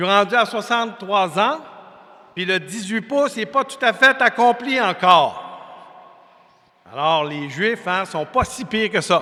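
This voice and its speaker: A raised, projected voice with a Quebec accent, lively intonation, and a fairly slow pace broken by long, frequent pauses. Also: man, high pitch for a man. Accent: Québécois French. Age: 60s. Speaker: preacher. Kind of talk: sermon. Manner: conversational, folksy.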